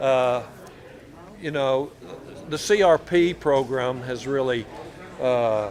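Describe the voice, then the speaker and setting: Speaking very slowly with long, frequent pauses, a man with a West Texas accent has a medium pitch and ordinary pitch variation, recorded with audible room echo and noticeable background noise. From Texas Panhandle (Borger). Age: 70s. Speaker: flint knapper and artifact collector. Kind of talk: casual interview. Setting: public fair in a museum.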